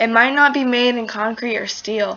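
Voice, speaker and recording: A woman talks in a plain, everyday voice. Her pace is moderate. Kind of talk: slam poetry performance.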